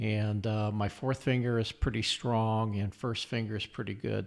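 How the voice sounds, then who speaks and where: A man speaks at a moderate pace on a very clean recording, the background silent. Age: 60s. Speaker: guitar coach and live musician. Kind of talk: tutorial. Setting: live stream video. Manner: casual, halting with fillers.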